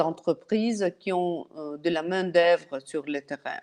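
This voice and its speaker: A woman with a non-native accent, medium pitch and a dark, mellow tone, against a quiet background. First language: not French (speaking French). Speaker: partner alliance manager. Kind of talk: webinar presentation. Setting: online webinar. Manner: halting, many hesitations.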